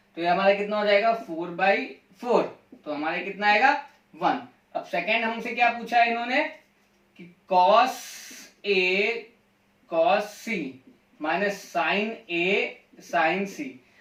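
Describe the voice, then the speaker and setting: In a room with audible echo, a man with a high pitch speaks with long, frequent pauses and big swings in loudness. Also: ordinary pitch variation. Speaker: math teacher. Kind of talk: lecture.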